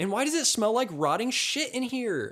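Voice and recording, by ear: In a put-on character voice, a man talks at a moderate pace with an extremely high pitch, big pitch swings and a fairly bright tone, recorded very cleanly against a silent background.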